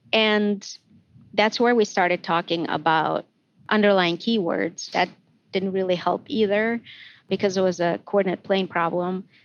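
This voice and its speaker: A woman with a non-native accent speaks with ordinary pitch variation. The background is quiet. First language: not English. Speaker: math education professor. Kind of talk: podcast interview. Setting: recorded outside usual studio.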